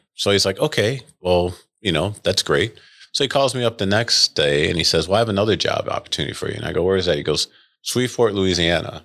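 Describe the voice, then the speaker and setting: Talking at a very fast pace, a man with an American accent has a fairly low pitch, lively intonation and a bright, sharp tone, on a very clean recording with a silent background. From western New York (Rochester). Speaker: orthopedic surgeon. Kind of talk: casual interview.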